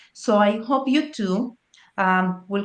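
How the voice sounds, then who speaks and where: A woman speaks with a Spanish accent. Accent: Spanish accent, noticeable. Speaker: immigration consultant and show host. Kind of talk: panel discussion. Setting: live stream.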